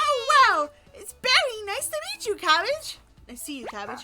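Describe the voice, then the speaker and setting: A squeaky, put-on character voice rings out at an extremely high pitch. It is raised and projected. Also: moderate pace. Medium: game stream. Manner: chirpy, excitable.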